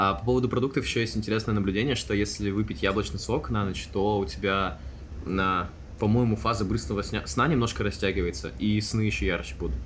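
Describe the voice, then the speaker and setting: The speech comes at a fairly quick pace with vocal fry. Room echo is audible. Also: man, fairly low pitch for a man, lively intonation. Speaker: podcast co-host. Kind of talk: casual chat. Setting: studio.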